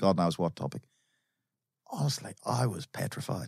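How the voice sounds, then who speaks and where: A man is speaking here. His pitch swings are very wide. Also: very clean recording, silent background. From Ireland, Dublin. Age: 60s. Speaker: company chairman. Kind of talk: podcast interview.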